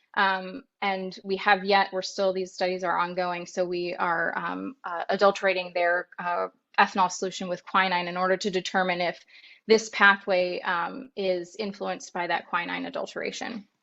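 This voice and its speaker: Over music in the background, a woman speaks at a medium pitch in a flat monotone. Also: moderate pace. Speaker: neuroscience researcher. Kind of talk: lecture. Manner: many filler words.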